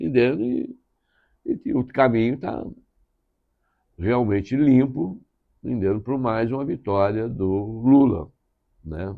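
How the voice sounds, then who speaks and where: Very slow delivery from a man, broken by long, frequent pauses. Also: medium pitch for a man, ordinary pitch variation. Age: 70s. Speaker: political journalist. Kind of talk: interview. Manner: halting.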